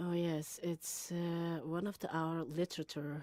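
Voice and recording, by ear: A woman speaks slowly in a low, dark, mellow voice with fairly even intonation and a dry, close sound with no echo.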